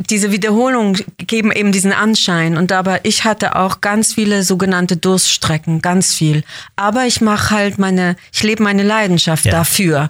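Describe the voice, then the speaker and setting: An ordinary speaking voice from a woman, medium in pitch, at a moderate pace, with fairly even intonation and very even loudness. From Switzerland, Basel. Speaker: actress. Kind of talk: interview.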